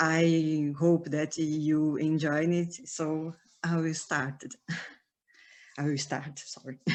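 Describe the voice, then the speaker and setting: Against a quiet background, a woman with a Brazilian Portuguese accent speaks in a very deep, low pitch and a monotone, flat intonation at a very slow pace, with long, frequent pauses. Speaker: historian. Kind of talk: academic lecture. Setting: online webinar. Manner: halting.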